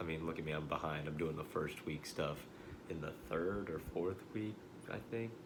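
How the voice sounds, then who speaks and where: An American accent at a moderate pace, with ordinary pitch variation, audible room echo and noticeable background noise. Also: man, very deep, low pitch for a man. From Central Texas, hill country. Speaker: college student. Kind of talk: class introduction video. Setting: self-recorded video. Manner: hesitant, many fillers.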